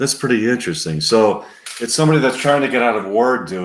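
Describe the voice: Lively intonation colors this plain reading aloud.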